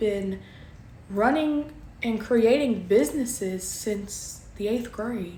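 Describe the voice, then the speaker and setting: A woman with a Southern US accent talks at a very slow pace, with ordinary pitch variation. Audible room echo and noticeable background noise fill the recording. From Kentucky. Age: 20s. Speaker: crafter and small business owner. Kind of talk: casual vlog self-introduction.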